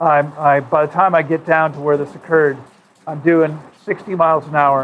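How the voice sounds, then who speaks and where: This man has an unremarkable speaking voice, pitched fairly high, and he talks at a moderate pace. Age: 60s. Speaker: water fasting retreat director. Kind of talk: interview. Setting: in person.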